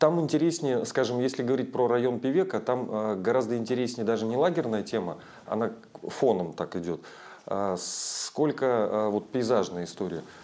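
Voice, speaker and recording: This voice is a man's, dark and mellow in tone. His intonation is lively. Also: medium pitch for a man, moderate pace. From Russian Far East (Chukotka). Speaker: tour operator and travel writer. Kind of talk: interview. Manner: hesitant, many fillers.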